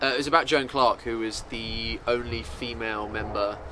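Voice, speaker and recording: There is audible room echo as a man speaks with an English accent. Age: 20s. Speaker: musical theatre student. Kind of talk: interview. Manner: casual, hesitant with fillers.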